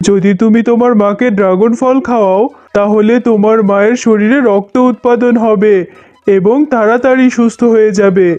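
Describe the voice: A cartoonish character voice, fairly high-pitched and fairly slow, with faint music in the background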